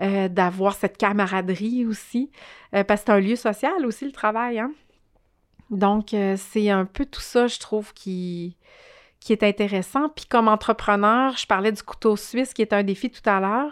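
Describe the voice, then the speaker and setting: A normal speaking voice from a woman, fairly slow, with ordinary pitch variation. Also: fairly high pitch for a woman. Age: 40s. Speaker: social entrepreneur. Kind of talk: interview.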